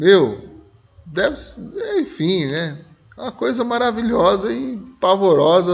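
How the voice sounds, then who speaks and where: This man's voice swings very widely in pitch. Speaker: Sunday school Bible teacher. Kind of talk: Bible school lesson discussion. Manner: slow, emotional delivery.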